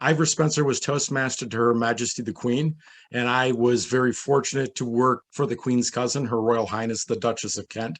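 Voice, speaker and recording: An ordinary speaking voice from a man with an American accent, medium in pitch, fairly quick in pace and fairly even in intonation, against a quiet background. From New York, US. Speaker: hospitality consultant. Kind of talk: panel discussion. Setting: virtual event.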